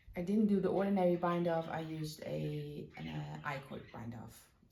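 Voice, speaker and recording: A woman with a fairly low pitch and a dark, mellow tone speaks amid audible room echo. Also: big swings in loudness. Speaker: knitting podcaster. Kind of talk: casual chat.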